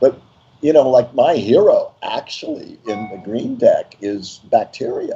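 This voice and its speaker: A man at a fairly slow pace, with big swings in loudness, music in the background. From Brazil. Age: 70s. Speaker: tarot deck creator. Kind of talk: interview. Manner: animated.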